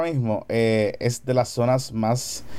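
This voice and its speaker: Very slow and even in intonation, a man talks at medium pitch in a dark, mellow tone. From Puerto Rico, Carolina. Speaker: radio host and podcaster. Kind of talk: casual chat.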